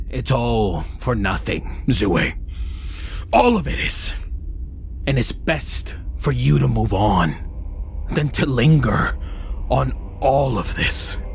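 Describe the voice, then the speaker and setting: A put-on character voice at a very slow pace, with clear background noise. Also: man. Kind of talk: dramatic fantasy roleplay. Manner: solemn, weary, fatalistic.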